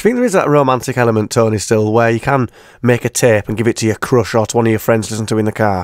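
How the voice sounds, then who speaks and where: A man's medium-pitched voice with a British accent at a very fast pace, fairly even intonation, a dry sound with no echo and a quiet background. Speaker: radio presenter. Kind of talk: radio interview.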